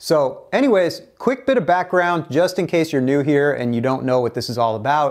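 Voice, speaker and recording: Very fast speech from a man with ordinary pitch variation. The background is quiet. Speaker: teacher. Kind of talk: tutorial. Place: studio. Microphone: lapel.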